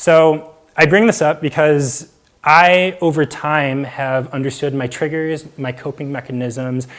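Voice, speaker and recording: Fairly slow in pace, a man speaks with a fairly high pitch. His pitch varies in an ordinary way. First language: Mandarin. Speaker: public speaker sharing mental health story. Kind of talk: talk to live audience. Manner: casual with frequent fillers.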